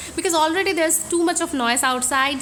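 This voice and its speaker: With audible room echo around her, a woman speaks in a Bengali accent using ordinary pitch variation. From India, Bengali. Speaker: beauty vlogger. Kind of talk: casual vlog. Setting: home room.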